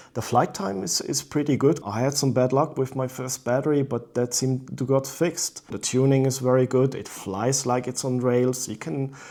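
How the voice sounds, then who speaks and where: With a non-native accent, a man speaks at a medium pitch and moderate pace with fairly even intonation and hardly any pauses. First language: not English. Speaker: drone reviewer. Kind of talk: product review. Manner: halting.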